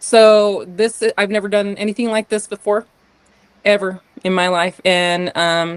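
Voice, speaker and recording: A woman speaks with an American accent in a normal speaking voice. The sound is dry and close, with no echo. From US West, northern Utah. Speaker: podcast guest, artist and business owner. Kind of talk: casual interview conversation.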